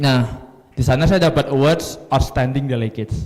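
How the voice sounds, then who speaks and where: His pace is moderate. This man talks at a medium pitch. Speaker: MUN coach, event emcee. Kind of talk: event emcee talk to audience.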